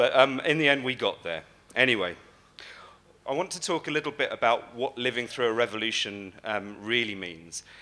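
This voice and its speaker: Speaking with an English accent, a man uses a medium pitch and lively intonation. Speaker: conference speaker. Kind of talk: keynote talk. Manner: fast; hesitant, many fillers.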